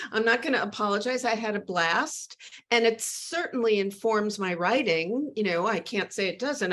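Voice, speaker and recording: At a moderate pace and medium pitch, this woman talks in a plain, everyday voice. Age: 60s. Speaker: novelist. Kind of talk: interview.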